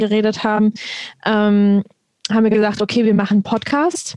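A woman speaks at a moderate pace with a fairly high pitch. Hers is an unremarkable speaking voice. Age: 20s. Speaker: podcast co-host. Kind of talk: casual chat.

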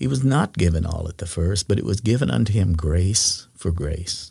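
A somewhat breathy, dark, mellow tone in an American accent, with lively intonation at a moderate pace, on a very clean recording with a silent background. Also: man. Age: 60s. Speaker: former pastor. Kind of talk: faith testimony interview.

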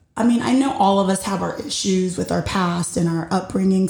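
Loud and with lively intonation, a woman talks at a moderate pace over noticeable background noise. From Puerto Rico, partly raised in the US. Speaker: podcast host. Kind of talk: solo personal monologue.

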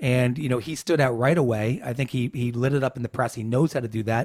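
A man with an American accent and a medium pitch talks at a fairly quick pace with fairly even intonation, in a very clean recording with a silent background. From New York. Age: 50s. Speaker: political consultant. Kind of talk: interview. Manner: halting, many repetitions and fillers.

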